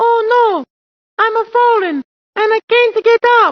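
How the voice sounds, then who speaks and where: Someone uses a put-on character voice with extremely high pitch, speaking at a fairly slow pace. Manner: impression of American advertising.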